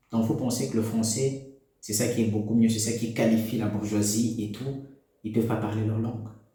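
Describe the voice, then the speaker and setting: A man speaks at a medium pitch and moderate pace with a dark, mellow tone that is somewhat breathy. His intonation is monotone and flat, with audible room echo. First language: an African language (speaking French). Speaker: political commentator. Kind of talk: opinion monologue.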